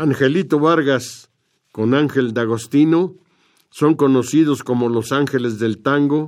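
A man speaks at a very slow pace in a medium pitch, with ordinary pitch variation. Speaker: radio host. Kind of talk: scripted narration.

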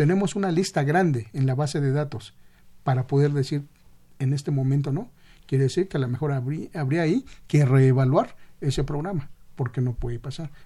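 The speaker has a dark, mellow, somewhat breathy tone, moving at a fairly quick pace with ordinary pitch variation. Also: man, fairly high pitch for a man. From Mexico City (Xochimilco). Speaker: transplant program physician. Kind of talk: radio interview.

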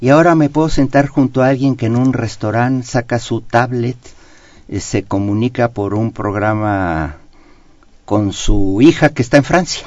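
He speaks at a fairly slow pace with a normal speaking voice. This man's pitch is medium, with ordinary variation. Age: 60s. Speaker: economist. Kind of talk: radio interview. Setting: radio studio.

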